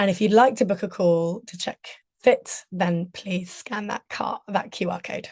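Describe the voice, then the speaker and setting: A woman with a British accent speaks at a fairly slow pace and medium pitch, her intonation fairly even and her voice somewhat breathy, with big swings in loudness and a dry, close sound with no echo. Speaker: communications trainer. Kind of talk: webinar presentation.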